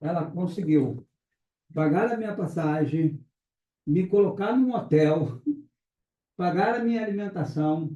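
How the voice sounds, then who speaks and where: Talking at a fairly slow pace, a man has a high pitch. His tone is dark and mellow. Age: 60s. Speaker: pastor. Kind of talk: testimony.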